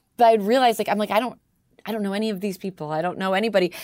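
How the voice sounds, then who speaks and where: A woman speaks with a slight Canadian accent. The recording is very clean, with a silent background. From Toronto, Canada. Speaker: radio host. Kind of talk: casual interview chat.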